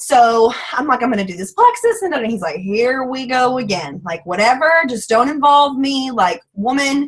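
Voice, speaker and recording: With a strong Southern US accent, a woman speaks at a high pitch with lively intonation and hardly any pauses. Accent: thick Southern twang. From US South. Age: 20s. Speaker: network marketing distributor. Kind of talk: testimony. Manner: fast; animated.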